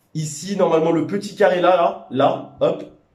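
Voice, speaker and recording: Audible room echo hangs on this voice. It belongs to a man. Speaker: powerlifting vlogger and coach. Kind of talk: casual vlog talk to camera. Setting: gym after training session. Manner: halting, many hesitations.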